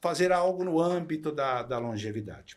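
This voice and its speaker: Fairly high in pitch with ordinary variation, a man speaks in an ordinary speaking voice. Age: 60s. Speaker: retired executive turned entrepreneur. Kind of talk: podcast interview.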